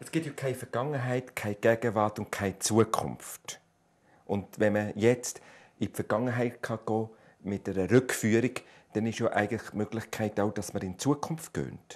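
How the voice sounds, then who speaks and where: Male speaker at a moderate pace with ordinary pitch variation. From Switzerland. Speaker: TV talk show host. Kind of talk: TV talk show. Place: studio. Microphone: lapel.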